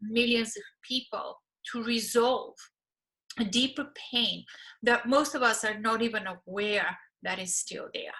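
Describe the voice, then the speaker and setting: A woman with a Bulgarian accent and a high pitch speaks at a fairly slow pace, with ordinary pitch variation and a bright, sharp tone. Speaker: relationship coach and therapist. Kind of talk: course promo talk.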